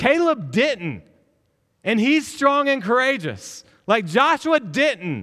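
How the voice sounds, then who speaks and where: A man's extremely high-pitched, raised and projected voice with a bright, sharp tone, very wide pitch swings, very even loudness and a very slow pace. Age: 40s. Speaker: pastor. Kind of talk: sermon. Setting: church. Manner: animated.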